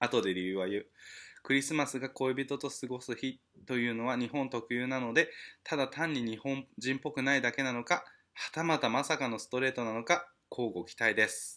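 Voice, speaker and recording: The voice has a bright, sharp tone and ordinary pitch variation against a quiet background. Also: man, medium pitch for a man, moderate pace. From Japan. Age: 30s. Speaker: podcast host. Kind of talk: casual solo monologue. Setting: at home. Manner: animated.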